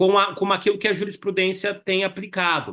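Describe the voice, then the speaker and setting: A man's high, bright, sharp voice in a Minas Gerais caipira accent, at a moderate pace. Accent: caipira (Minas Gerais) accent, kept. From Minas Gerais, Brazil. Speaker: law professor. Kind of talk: webinar panel discussion. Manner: conversational, many fillers.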